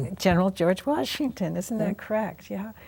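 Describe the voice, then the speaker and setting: Very clean recording against a silent background: a woman at medium pitch and moderate pace, dark and mellow with vocal fry and lively intonation. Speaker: TV talk show host. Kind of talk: interview questions.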